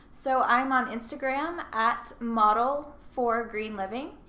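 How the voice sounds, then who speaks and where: With an American accent, a woman with a fairly high pitch and ordinary pitch variation speaks at a very slow pace amid audible room echo. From US South, Nashville, Tennessee. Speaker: model and sustainability blogger. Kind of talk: casual interview. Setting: in person, Brooklyn.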